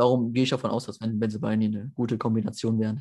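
A man's dark, mellow tone at a very fast pace against a quiet background. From Germany, Mönchengladbach (Lower Rhine). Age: 20s. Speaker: football fan and match analyst. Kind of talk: casual chat.

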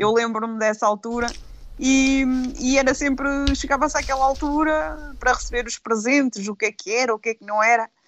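This woman has a normal speaking voice and speaks at a moderate pace. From Aveiro district, Portugal. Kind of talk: casual chat.

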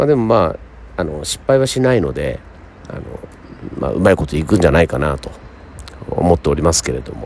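A man talks at a very fast pace with a very deep, low pitch, long pauses breaking in often. His pitch swings very widely, his loudness varies a lot, and there is noticeable background noise. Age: 50s. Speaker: radio host. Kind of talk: casual chat. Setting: hot spring inn.

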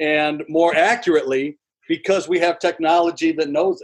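A man talks in an ordinary speaking voice at a moderate pace, with fairly high pitch and fairly even intonation. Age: 60s. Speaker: former pro baseball pitcher and broadcaster. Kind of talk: casual interview.

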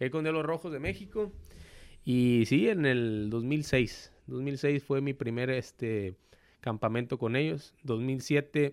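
A man at a medium pitch with ordinary pitch variation at a very slow pace. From Mexico, Villahermosa, Tabasco. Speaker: professional baseball player. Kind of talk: casual interview.

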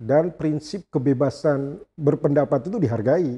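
With a dark, mellow tone, a man speaks at a moderate pace with ordinary pitch variation, the sound dry and close with no echo over a quiet background. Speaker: law professor and dean, podcast host. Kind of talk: interview podcast. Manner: energetic.

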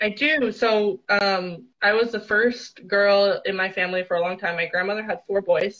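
In a Canadian accent, a woman with a plain, everyday voice speaks at medium pitch and a moderate pace. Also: fairly even intonation. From small town near Ottawa, Canada. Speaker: athlete and coach. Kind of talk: interview. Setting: live video stream.

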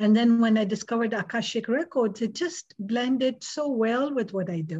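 Her pitch is fairly high for a woman, and her voice is somewhat breathy. She talks at a moderate pace. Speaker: hypnotist and energy healer. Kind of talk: interview. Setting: video call. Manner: calm.

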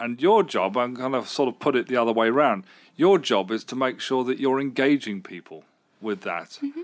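This man speaks at a medium pitch with very wide pitch swings. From Britain. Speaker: local radio presenter. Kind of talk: interview chat.

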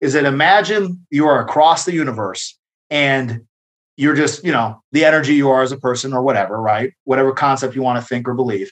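In an unremarkable speaking voice, a man talks fairly quickly at a medium pitch with ordinary pitch variation. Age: 30s. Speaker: boxing coach and gym owner. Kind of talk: casual chat.

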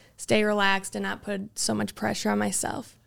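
This recording is very clean, its background silent. A woman talks at a moderate pace. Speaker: college softball player. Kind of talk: interview.

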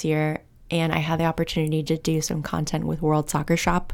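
This is a woman speaking. Her pitch is fairly low. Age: 30s. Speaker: podcast host. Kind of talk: casual chat.

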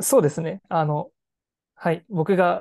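The tone is dark and mellow, with ordinary pitch variation. The sound is dry and close with no echo, against a quiet background. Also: woman. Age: 20s. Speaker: startup CEO. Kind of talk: interview.

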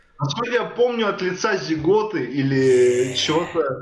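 A man's voice, fairly high in pitch and lively in intonation, comes through over noticeable background noise. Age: 20s. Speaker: rapper. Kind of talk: casual chat.

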